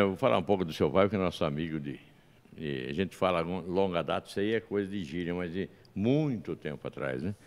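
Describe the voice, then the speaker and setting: This man has a very deep, low pitch. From São Paulo state, Brazil. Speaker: podcast host. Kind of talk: interview. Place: studio. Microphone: studio mic.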